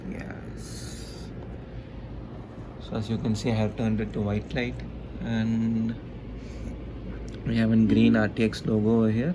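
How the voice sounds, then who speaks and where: A man talks fairly slowly with long, frequent pauses. There is audible room echo and noticeable background noise. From India. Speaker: tech YouTuber. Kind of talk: product review. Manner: casual, hesitant with fillers.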